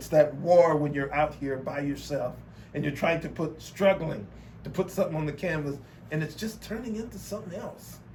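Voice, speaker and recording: A man with an American accent and a fairly high pitch speaks with ordinary pitch variation amid noticeable background noise and audible room echo. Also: moderate pace. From Texas, Beaumont. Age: 50s. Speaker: artist. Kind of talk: interview. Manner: halting, with many repetitions.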